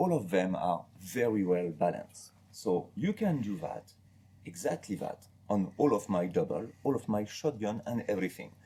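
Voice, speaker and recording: In a French accent, a man speaks at a moderate pace with a fairly low pitch, a dark, mellow tone and lively intonation. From France. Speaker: master gunsmith. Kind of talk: interview about products. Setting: retail store.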